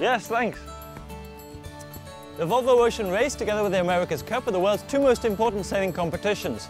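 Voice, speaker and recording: A man with a high pitch and ordinary pitch variation, a very fast pace broken by long, frequent pauses, and music in the background. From British. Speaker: TV presenter. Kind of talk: travel show presenting.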